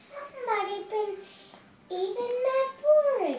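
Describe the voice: Using a put-on character voice, the speaker talks at a fairly slow pace. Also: woman, extremely high pitch for a woman.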